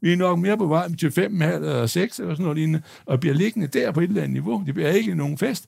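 A man moves at a fairly quick pace while his pitch swings very widely. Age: 60s. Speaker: stock analyst. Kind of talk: live panel debate. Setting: stage with audience. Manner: halting.

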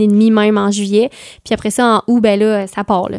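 In a Quebec accent, a woman with a fairly high pitch talks at a moderate pace in a monotone, flat intonation. The sound is dry and close with no echo. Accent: Québécois French. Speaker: singer. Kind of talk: casual interview chat.

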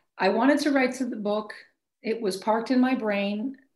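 A woman speaks in an American accent, her voice somewhat breathy. Her pitch varies in an ordinary way. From Maine, US. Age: 50s. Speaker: basketball coach. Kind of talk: interview. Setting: call.

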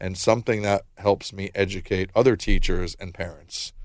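A man speaks at a moderate pace in a normal speaking voice, fairly low in pitch. The recording is very clean and the background silent. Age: 40s. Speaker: founder of a social communication company. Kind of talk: interview. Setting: studio.

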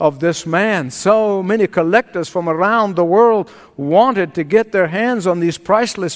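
A natural reading voice with pitch moving in an ordinary way

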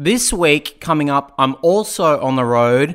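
A man with an Australian accent, fairly high-pitched, with lively intonation. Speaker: stand-up comedian and co-host. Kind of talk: intro announcement.

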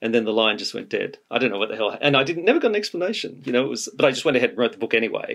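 A man speaks at a very fast pace with an Australian accent. There are hardly any pauses. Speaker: music biographer. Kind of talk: interview.

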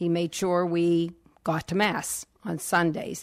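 Very slow in pace, a woman speaks at a fairly low pitch with an American accent. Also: very clean recording, silent background. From Pittsburgh area, Pennsylvania. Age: 60s. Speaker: first grade teacher. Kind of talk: radio interview. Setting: radio studio.

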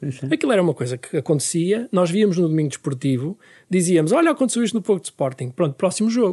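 A man speaks very fast in a high voice with a dark, mellow tone, his pitch swinging very widely. The sound is dry and close with no echo, over a quiet background. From northern Portugal (Famalicão, Minho). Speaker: writer and editor. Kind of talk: radio interview.

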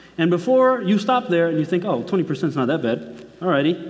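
The pitch swings very widely. There is audible echo from the room. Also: man. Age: 20s. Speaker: preacher. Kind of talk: sermon. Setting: church.

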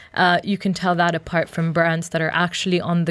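Noticeable background noise runs under the speech. A woman talks at a fairly low pitch in a monotone, flat way. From Uganda. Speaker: social enterprise co-founder. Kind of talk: radio interview.

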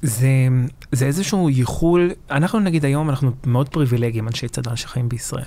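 Fairly quick and dark, mellow in tone, this man's voice sits at a medium pitch. His pitch variation is ordinary. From southern Lebanon, Marjayoun; Israel from age 9. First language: Lebanese Arabic (speaking Hebrew). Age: 20s. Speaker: public diplomacy activist, son of former militia officer. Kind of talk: interview.

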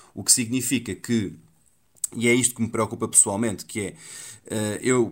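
A man with an unremarkable speaking voice, medium pitch, fairly quick pace and fairly even intonation, in a very clean recording with a silent background. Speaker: newspaper columnist, education specialist. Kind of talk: radio panel discussion.

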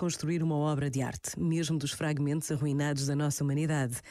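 A woman's very deep, low voice, dark and mellow in tone, comes through a very clean recording with a silent background. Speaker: radio host. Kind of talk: radio commentary.

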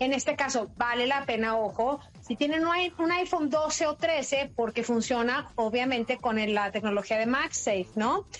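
A woman speaks at a high pitch with an animated tone and lively intonation. Her pace is fairly slow, with hardly any pauses and very even loudness. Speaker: technology journalist, podcast co-host. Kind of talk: casual chat, gadget review.

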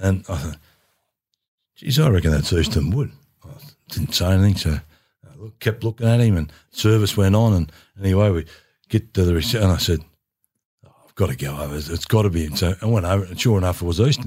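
A man with a very deep, low pitch talks very fast, his intonation lively and his voice somewhat breathy. His loudness swings widely, and he takes long, frequent pauses. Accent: Australian. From rural Victoria, Australia. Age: 70s. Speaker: former footballer. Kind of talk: casual interview chat.

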